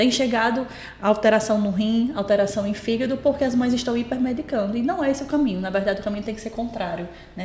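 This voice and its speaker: A strong potiguar accent at a very fast pace with ordinary pitch variation, amid audible room echo and noticeable background noise. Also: woman. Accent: strong potiguar (Rio Grande do Norte). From Brazil, Rio Grande do Norte. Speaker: pediatrician. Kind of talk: podcast interview.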